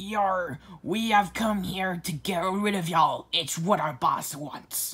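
In a put-on character voice, a female-sounding speaker talks at a medium pitch and a fairly slow pace. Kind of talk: hammy. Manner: over-the-top.

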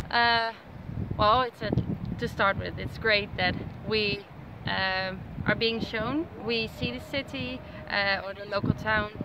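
Speaking very slowly with long, frequent pauses, a woman with a Dutch accent and a fairly high pitch uses ordinary pitch variation, her dry, echo-free sound set against loud background noise. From Netherlands. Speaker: tourist on vacation. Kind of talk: casual travel vlog commentary. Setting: outdoors at night. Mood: warm, grateful, friendly. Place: beach. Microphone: phone near.

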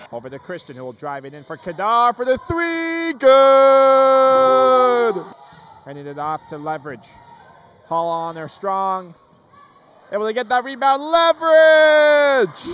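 A man speaks in an excited, energetic tone at an extremely high pitch, with very wide pitch swings and big swings in loudness, at a fairly slow pace. The sound is dry with no echo, while crowd noise fills the background. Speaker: sports play-by-play commentator. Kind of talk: live basketball play-by-play commentary. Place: hall.

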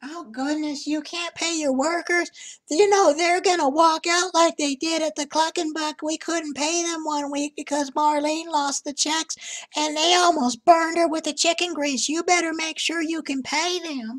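A woman's squeaky put-on character voice, extremely high in pitch, with fairly even intonation at a moderate pace. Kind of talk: comic put-on persona. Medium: voice reel. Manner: rambling, folksy, doting.

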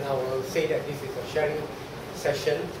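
A man talks with audible room echo. Noticeable background noise sits behind his voice. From Malacca, Malaysia. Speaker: Peranakan culture speaker and artefact collector. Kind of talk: public talk / presentation. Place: meeting room. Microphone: camera far.

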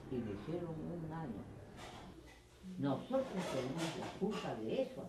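A woman's very deep, low voice with very wide pitch swings at a fairly slow pace, with audible room echo and noticeable background noise. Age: 90s. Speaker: radio broadcaster. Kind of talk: interview; radio broadcast.

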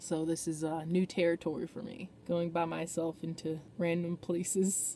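A woman's fairly low, monotone voice with flat intonation, dry with no echo. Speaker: van life vlogger. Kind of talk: casual vlog chat. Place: car. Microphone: phone near.

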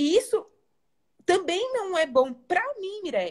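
A woman's voice with very wide swings in pitch. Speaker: educational psychologist and live host. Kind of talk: live stream conversation. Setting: live video stream.

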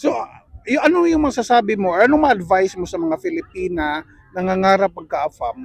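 A man with a high voice speaks at a fairly quick pace, his pitch swinging very widely. The sound is dry with no echo, and the background is quiet. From Philippines. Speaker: vlogger interviewing fellow Filipinos. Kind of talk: casual interview. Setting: outdoors at a lake picnic. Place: open country. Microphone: lapel.

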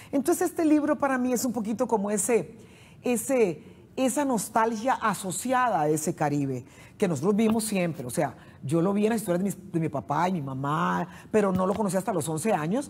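Somewhat breathy, a woman speaks at a fairly quick pace with very wide pitch swings. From Costa Rica, San José (Central Valley); Costa Rica. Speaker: poet and writer; poet. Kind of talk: interview. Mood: warm, reflective. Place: studio. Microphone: lapel.

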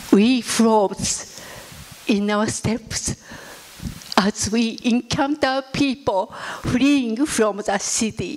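Speaking very slowly with long, frequent pauses, a woman shows ordinary pitch variation. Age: 80s. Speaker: atomic bomb survivor. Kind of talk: testimony. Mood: solemn, reflective. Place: hall. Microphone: handheld.

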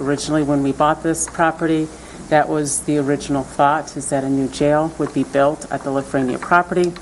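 A woman with a very deep, low pitch, flat monotone intonation and a moderate pace, over light background noise. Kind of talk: meeting presentation. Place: meeting room. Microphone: podium.

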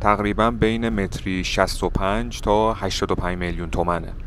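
Music plays in the background of this dry recording with no echo. A man speaks at a fairly low pitch with ordinary pitch variation. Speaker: travel vlogger. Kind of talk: casual vlog narration. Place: street. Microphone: phone near.

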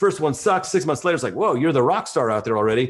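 Over a quiet background, a man speaks in a fairly high pitch with ordinary pitch variation. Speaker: real estate agent and video coach; video coach. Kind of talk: interview. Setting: video call. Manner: animated. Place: home room. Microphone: video call.

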